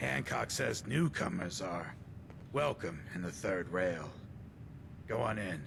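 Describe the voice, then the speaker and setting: Over loud background noise, a man performs a put-on character voice at a very deep, low pitch, speaking at a fairly slow pace with long, frequent pauses. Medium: video game. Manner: gruff, businesslike.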